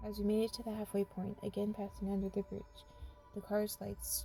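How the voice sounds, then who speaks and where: A woman talks at a fairly quick pace. Background music is audible. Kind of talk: creepypasta horror story reading. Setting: in a car.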